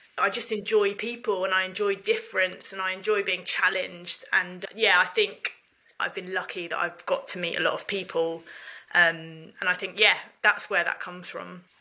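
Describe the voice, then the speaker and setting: At a moderate pace, a woman with a southern English accent speaks at a medium pitch in a monotone, flat intonation. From England, North London then Ramsgate, Kent. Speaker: charity managing director. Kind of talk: interview.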